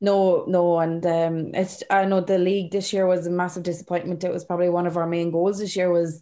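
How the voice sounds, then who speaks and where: A woman speaks at a fairly quick pace in an Irish accent, her intonation monotone and flat, against a quiet background. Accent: Irish, Carlow. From Ireland, County Carlow. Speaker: camogie player. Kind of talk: interview.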